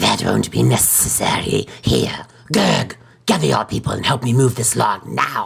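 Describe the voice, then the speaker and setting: A raspy, put-on character voice moves along at a moderate pace. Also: man. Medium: solo performance. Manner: gentle but stern.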